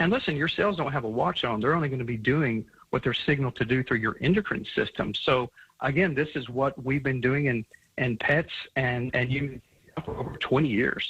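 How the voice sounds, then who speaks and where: With an unremarkable speaking voice, a man talks at a fairly quick pace, medium in pitch, with ordinary pitch variation. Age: 60s. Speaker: supplement company founder. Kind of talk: radio interview.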